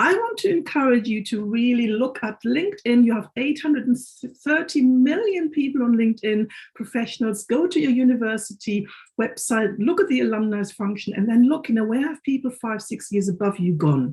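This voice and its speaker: Speaking at a fairly quick pace, a woman with a German accent has a high pitch and lively intonation. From Germany. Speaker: careers consultant. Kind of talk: webinar panel introduction.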